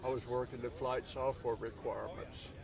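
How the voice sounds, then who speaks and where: A man talks at a medium pitch. Noticeable background noise runs behind him. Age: 80s+. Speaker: retired NASA engineer. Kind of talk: casual interview. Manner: halting, many fillers.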